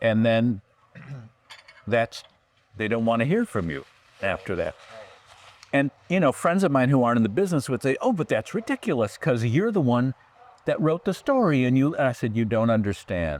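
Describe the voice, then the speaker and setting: A man with an American accent speaks at a moderate pace in a medium voice, his intonation lively and his long pauses frequent, the sound dry and close with no echo. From California. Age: 60s. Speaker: writer and producer. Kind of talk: interview conversation.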